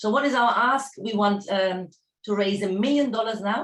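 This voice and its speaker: With a German accent, a woman talks at a medium speed. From Germany. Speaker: startup founder. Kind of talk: pitch presentation. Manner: halting.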